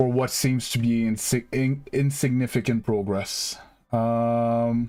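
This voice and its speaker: A man with a Quebec accent at a medium pitch, dark and mellow in tone, very slow and monotone with flat intonation and very even loudness, on a very clean recording with a silent background. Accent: French Canadian accent in English. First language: French. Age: 30s. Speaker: gaming streamer. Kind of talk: live stream chat with viewers. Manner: casual, hesitant with fillers.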